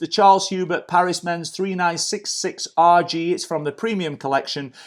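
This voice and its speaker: A man with a British accent speaks in an enthusiastic tone and a high pitch, recorded very cleanly against a silent background. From UK. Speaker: watch reviewer, YouTuber. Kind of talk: product review.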